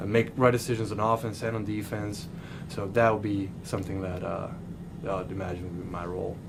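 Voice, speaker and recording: A man with a Serbian accent at a fairly low pitch, fairly quick pace and fairly even intonation, amid noticeable background noise and audible room echo. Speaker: college basketball player. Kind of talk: press interview. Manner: halting.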